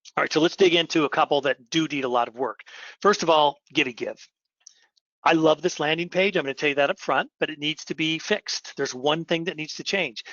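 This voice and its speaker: A man with an unremarkable speaking voice talks at a fairly quick pace. His pitch is fairly high, with ordinary variation. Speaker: company CEO presenting webinar. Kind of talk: webinar presentation. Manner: repetitive restarts.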